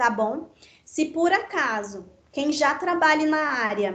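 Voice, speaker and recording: A woman speaks in a high voice. Room echo is audible around her. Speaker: teacher. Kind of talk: online lecture.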